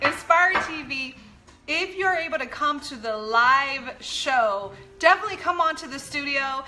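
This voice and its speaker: A woman's high, raised and projected voice with lively intonation, over noticeable background noise. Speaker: pastor and show co-host. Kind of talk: live-streamed talk show announcements. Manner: loud; loud by habit.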